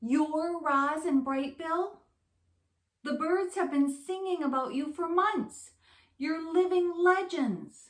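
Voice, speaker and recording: A woman's squeaky, put-on character voice, extremely high in pitch, raised and projected, at a fairly slow pace. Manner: excited.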